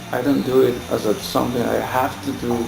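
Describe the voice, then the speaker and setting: A man at medium pitch with ordinary pitch variation and a moderate pace, audible room echo, and music in the background. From Colombia. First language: Spanish. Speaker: English teacher. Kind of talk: casual tutorial talk. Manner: halting, with fillers and repeats.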